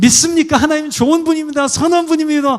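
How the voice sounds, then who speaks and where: A man puts on a character voice, pitched extremely high and sounding strained. He talks at a very fast pace. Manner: forced, tense.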